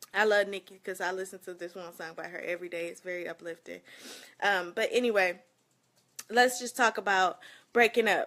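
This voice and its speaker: Bright and sharp in tone, a woman with an American accent sounds animated at a fairly quick pace, though she leaves long, frequent pauses. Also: medium pitch for a woman, big swings in loudness. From Flint, Michigan. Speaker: live streamer. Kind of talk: casual live stream chat.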